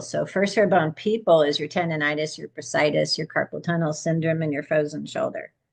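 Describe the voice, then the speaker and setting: Medium speed and a very deep, low pitch from a female speaker. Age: 60s. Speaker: holistic horse care practitioner. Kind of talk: casual interview.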